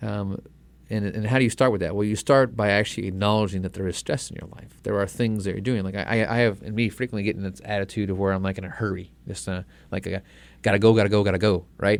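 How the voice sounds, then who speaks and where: Very fast and fairly even in intonation, a man speaks at a fairly low pitch. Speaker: radio host and naturopathic doctor. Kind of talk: radio health talk. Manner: sometimes mumbles words.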